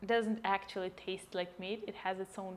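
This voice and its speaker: A woman speaks with a Russian accent. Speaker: cooking vlogger. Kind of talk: cooking tutorial. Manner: casual, with many fillers.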